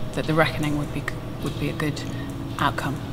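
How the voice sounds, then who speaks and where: A woman's voice against noticeable background noise. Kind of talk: interview answer. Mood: reflective, slightly emotional.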